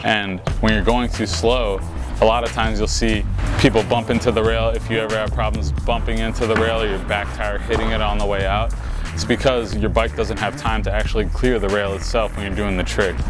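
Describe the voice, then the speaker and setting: A man's very deep, low voice with very wide pitch swings at a fairly quick pace, music playing in the background. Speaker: BMX rider giving a trick tutorial. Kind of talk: how-to tutorial talking to camera.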